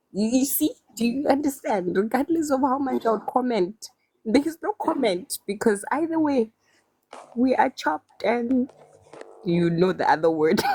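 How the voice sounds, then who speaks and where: Her voice is high and animated, with very wide pitch swings at a moderate pace. The woman's recording sounds dry and close, with no echo. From South Africa. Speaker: caller. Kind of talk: heated debate.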